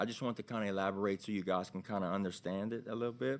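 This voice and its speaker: Speaking with a Louisiana accent, a man goes at a very fast pace. His pitch moves in an ordinary way. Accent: Louisiana local. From Louisiana, Vermilion Parish (Abbeville). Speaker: hemp store owner. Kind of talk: testimony. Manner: halting.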